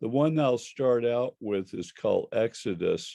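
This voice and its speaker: A man talks at a very slow pace. The sound is dry and close with no echo, and the background is quiet. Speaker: poet. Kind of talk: poetry reading. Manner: halting.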